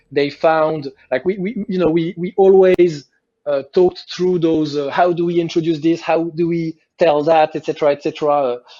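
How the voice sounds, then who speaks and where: Fairly even intonation at a moderate pace. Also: man, high pitch for a man. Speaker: video game director. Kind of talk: interview. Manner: halting, many fillers.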